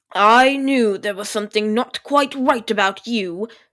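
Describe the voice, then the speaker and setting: Putting on a character voice, a woman drawls at a moderate pace in a fairly high pitch with ordinary pitch variation. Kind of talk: aristocratic, refined. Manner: drawling, unhurried.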